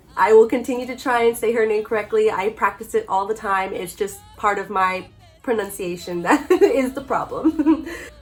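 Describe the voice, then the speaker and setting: Over noticeable background noise, a woman speaks with an animated tone and a fairly high pitch. Her pace is moderate. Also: ordinary pitch variation. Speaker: artist. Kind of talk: casual vlog talk.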